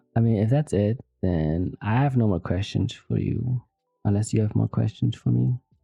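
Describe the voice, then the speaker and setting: Over music in the background, a man with a fairly low pitch speaks with lively intonation and very even loudness. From Vietnam. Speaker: podcast host. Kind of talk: casual chat.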